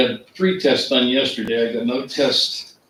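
A man's voice with ordinary pitch variation and noticeable background noise. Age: 60s. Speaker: township resident attending meeting. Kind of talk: casual chat. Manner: halting.

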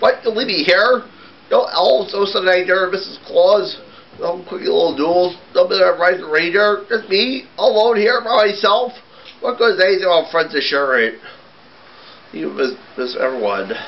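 A man's cartoonish character voice, high in pitch, at a moderate pace. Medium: puppet show. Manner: pleading, self-pitying.

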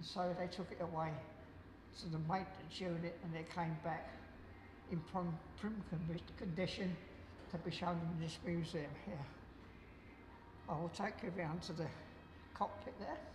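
Amid noticeable background noise, the speaker talks at a fairly slow pace with fairly even intonation and long, frequent pauses. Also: man, high pitch for a man. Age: 80s+. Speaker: war veteran, museum guide. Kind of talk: museum tour guide talk. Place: hall. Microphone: lapel.

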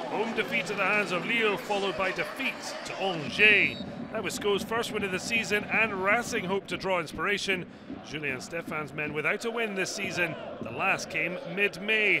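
Moderate-paced speech from a man with a high pitch and ordinary pitch variation, amid noticeable background noise. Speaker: football highlights commentator. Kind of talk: scripted highlights voice-over narration, post-match recap read over match footage. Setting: studio voice-over. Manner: brisk, punchy clipped phrasing, dropping verbs like a headline; rising excitement at late drama and goals.

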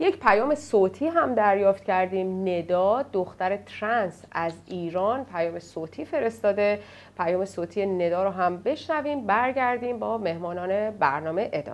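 With hardly any pauses, a woman talks at a moderate pace in an unremarkable speaking voice of medium pitch, her lively intonation paired with big swings in loudness. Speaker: TV program moderator. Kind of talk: moderated panel program. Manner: formal.

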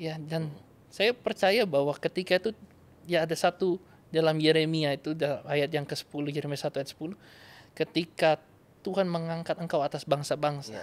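A man talks at a moderate pace, his pitch fairly high with ordinary variation. His loudness swings widely. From North Sulawesi, Indonesia; Indonesia. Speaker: evangelist. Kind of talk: interview testimony. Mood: warm, earnest. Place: studio. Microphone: studio mic.

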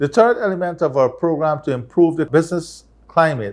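With a quiet background behind him, a man talks fairly quickly, and his pitch varies in an ordinary way. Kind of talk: formal address. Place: office.

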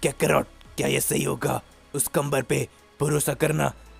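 Music plays in the background. A man speaks at a fairly slow pace with lively intonation. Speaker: anime story narrator. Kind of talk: storytelling narration voicing all characters.

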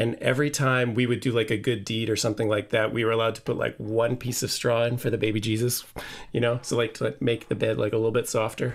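A man talks at a fairly quick pace. He has an ordinary speaking voice. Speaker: orchestral clarinetist. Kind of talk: casual chat. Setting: video call.

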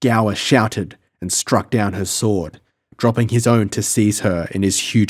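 A natural reading voice, with fairly even intonation, comes through over a quiet background.

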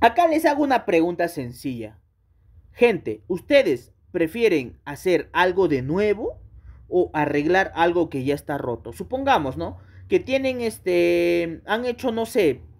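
A man's high, animated voice moves at a fairly slow pace with very wide pitch swings. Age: 30s. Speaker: gaming YouTuber. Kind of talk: commentary rant video.

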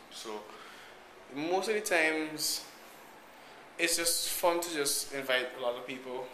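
The voice carries ordinary pitch variation over noticeable background noise. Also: man. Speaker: vlogger. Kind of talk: casual vlog chat. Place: hall. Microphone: phone near.

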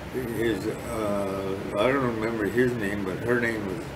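A man speaks in a flat monotone at a fairly low pitch, with noticeable background noise. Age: 80s+. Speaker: war veteran. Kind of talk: interview. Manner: halting.

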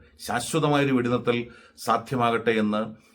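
A man talks at a medium pitch with ordinary pitch variation, in an unremarkable speaking voice. The recording is very clean, with a silent background. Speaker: news commentator. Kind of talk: news commentary monologue.

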